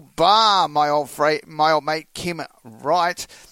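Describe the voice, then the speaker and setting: Very slowly, a man with an Australian accent talks in a bright, sharp tone with lively intonation. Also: dry, close sound with no echo. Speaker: country radio host. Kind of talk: radio hosting and interview.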